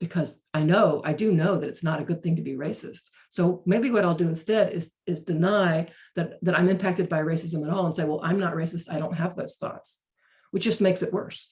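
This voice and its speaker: Speaking at a fairly quick pace, a woman with an American accent has a fairly low, somewhat breathy voice and fairly even intonation. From North Carolina, Chapel Hill. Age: 60s. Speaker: racial justice trainer. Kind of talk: webinar talk. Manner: halting, frequent repetitions.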